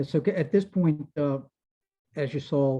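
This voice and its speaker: With a Maryland accent, a man speaks in a dark, mellow tone at a moderate pace with ordinary pitch variation against a quiet background. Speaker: entomologist, invited speaker. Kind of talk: Q&A after a talk.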